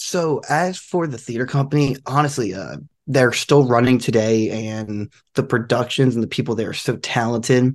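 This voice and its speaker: A man with an American accent has an ordinary speaking voice at medium pitch. He talks at a moderate pace against a quiet background. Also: ordinary pitch variation. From South Jersey, US. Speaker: actor and stand-up comedian. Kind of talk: interview.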